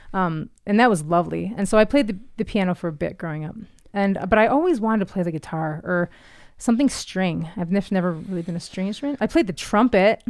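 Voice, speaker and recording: A woman at a very fast pace, medium in pitch with ordinary pitch variation, with a slight Canadian accent, on a very clean recording with a silent background. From Ontario, Canada. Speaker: artist and mountain biker. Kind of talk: casual chat. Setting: studio.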